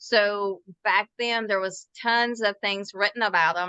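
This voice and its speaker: At a fairly slow pace, a woman with a Southern accent speaks in a bright, sharp tone at medium pitch with fairly even intonation, in a dry, close sound with no echo and a quiet background. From US South, Mississippi. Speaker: author. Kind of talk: interview.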